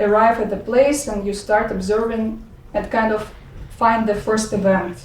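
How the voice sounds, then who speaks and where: With an audible room echo, a woman in a Russian accent speaks fairly slowly at a fairly high pitch. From Russia, Ufa (Bashkortostan). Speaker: poet and dance artist. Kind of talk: talk and poetry reading. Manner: halting, many fillers and restarts.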